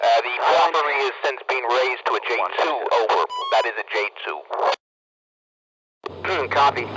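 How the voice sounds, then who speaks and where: Over background music, a man with an American accent talks with long, frequent pauses. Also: moderate pace. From United States. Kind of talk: scripted police radio dispatch. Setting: police radio transmission.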